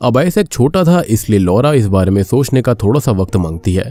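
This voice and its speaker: At a moderate pace, a man speaks in a dark, mellow tone with very wide pitch swings. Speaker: movie explainer YouTuber. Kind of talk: film plot narration.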